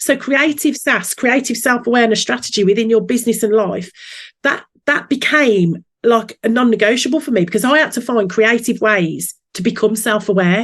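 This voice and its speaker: In a Birmingham accent, the speaker goes at a moderate pace with ordinary pitch variation. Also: woman, fairly high pitch for a woman. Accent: Brummie. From Birmingham, England. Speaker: business coach. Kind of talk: podcast interview. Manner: lively.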